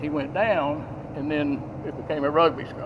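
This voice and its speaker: A man with a Southern US accent against noticeable background noise. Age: 60s. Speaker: witness at a scene. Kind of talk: statement to police. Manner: halting.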